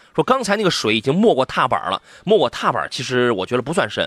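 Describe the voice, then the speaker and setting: A man speaks at a very fast pace in an animated tone, his pitch swinging very widely. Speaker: radio host, car show. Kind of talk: live radio call-in chat. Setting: radio studio. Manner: animated, humorous, fast talker.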